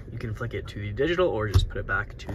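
Noticeable noise sits behind a man as he talks. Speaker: presenter. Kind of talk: product walkthrough commentary. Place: car. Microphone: phone near.

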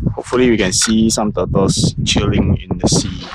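Over clear background noise, a man with a fairly low pitch speaks at a moderate pace with fairly even intonation.

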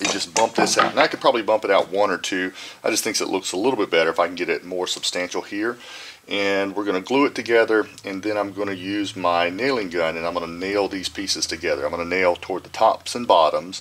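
The pace is very fast. Pitch variation stays ordinary. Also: man. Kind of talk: tutorial. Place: workshop.

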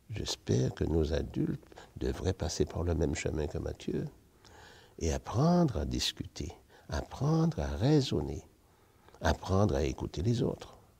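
A man with a very deep, low, dark and mellow voice speaks fairly slowly, with vocal fry and very wide pitch swings. Long pauses come often. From Martinique. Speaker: retired teacher. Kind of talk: testimony. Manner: animated. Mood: warm, smiling, cheerful. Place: church. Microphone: lapel.

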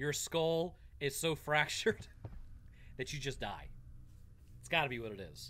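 With a bright, sharp tone and vocal fry, a man speaks at a moderate pace. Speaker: gamer streamer. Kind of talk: gameplay commentary. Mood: amused, joking. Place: home room.

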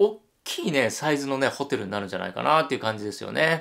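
A man talks at a very fast pace with vocal fry over a quiet background. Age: 50s. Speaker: hotel YouTuber. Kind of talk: solo video commentary. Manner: animated. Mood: cheerful, friendly. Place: home room.

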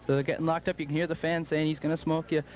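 Over loud background noise, a man rushes along at a very fast pace. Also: dry sound with no echo. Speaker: match commentator. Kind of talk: sports commentary.

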